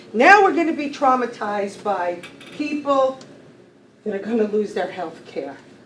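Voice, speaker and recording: Audible room echo and noticeable background noise surround the recording. A woman talks at a moderate pace with lively intonation. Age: 60s. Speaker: county worker making public comment. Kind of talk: public comment at a meeting. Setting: county legislature meeting room. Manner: impassioned.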